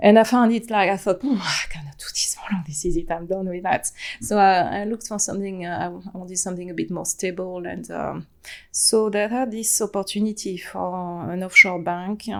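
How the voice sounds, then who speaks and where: With a French accent, a woman talks at a fairly quick pace, her loudness swinging widely and her pitch varying in an ordinary way. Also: medium pitch for a woman. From France, Atlantic coast. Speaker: human design practitioner, former compliance professional. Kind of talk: podcast interview. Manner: halting, many fillers.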